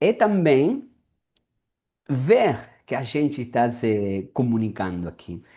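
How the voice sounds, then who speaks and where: Against a quiet background, a man with a non-native accent speaks very slowly at a medium pitch in a dark, mellow tone, making very wide pitch swings and taking long, frequent pauses. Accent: noticeable foreign accent in Portuguese. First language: Spanish (speaking Portuguese). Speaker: interviewer, language content creator. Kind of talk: interview. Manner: casual, repetitive.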